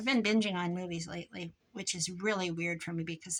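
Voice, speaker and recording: Mumbling, a woman speaks at a medium pitch with ordinary pitch variation. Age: old. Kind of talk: crafting tutorial with casual chat.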